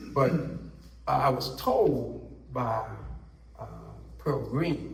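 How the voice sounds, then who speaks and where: A man's very slow speech amid noticeable background noise and audible room echo. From Washington DC area. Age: 60s. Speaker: community elder, family historian. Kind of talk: panel discussion, personal testimony. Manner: halting, with many fillers.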